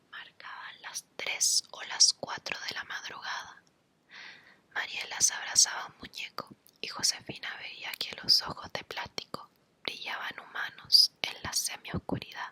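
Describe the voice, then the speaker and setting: A woman whispers at a fairly slow pace, her loudness swinging widely over noticeable background noise. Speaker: ASMR reader / content creator. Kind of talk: ASMR horror story reading. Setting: home recording with humidifier nearby. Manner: soft-spoken, whispery.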